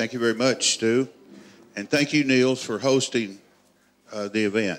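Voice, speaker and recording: A man with a South Arkansas accent speaks at a moderate pace with ordinary pitch variation in a very clean recording with a silent background. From US South, South Arkansas. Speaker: master bladesmith. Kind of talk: live demonstration. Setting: workshop with live audience.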